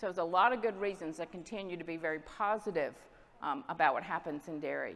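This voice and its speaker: A woman with a fairly low voice and an American accent, very fast pace, ordinary pitch variation. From US South, Southwest Georgia. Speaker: dairy export industry representative. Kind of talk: conference presentation.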